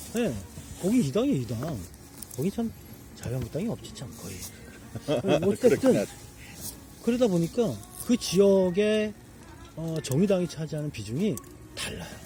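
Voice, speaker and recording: Speaking at a moderate pace, a man with a high pitch makes very wide pitch swings and big swings in loudness, broken by long, frequent pauses. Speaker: election candidate (minor left-wing party). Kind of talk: casual conversational talk beside a campfire.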